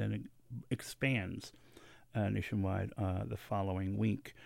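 A man with an unremarkable speaking voice, fairly low pitch and a moderate pace, on a very clean recording with a silent background. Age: 50s. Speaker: radio host. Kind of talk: radio interview. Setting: studio.

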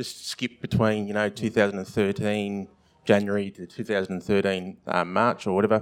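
This man speaks with an Australian accent and a fairly low pitch. His intonation is monotone and flat. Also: moderate pace. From Victoria, Australia. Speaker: writer. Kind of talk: live festival panel discussion. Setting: stage with live audience. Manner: halting, many fillers.

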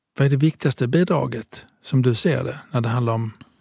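Somewhat breathy, a man talks at a moderate pace. The sound is dry and close, without echo. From southern Italy. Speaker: podcast host. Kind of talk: casual conversation. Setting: studio.

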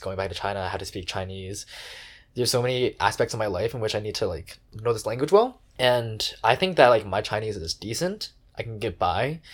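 The recording is very clean, with a silent background. A man with a fairly low pitch and a somewhat breathy voice speaks at a fairly quick pace. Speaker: podcast host. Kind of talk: casual chat.

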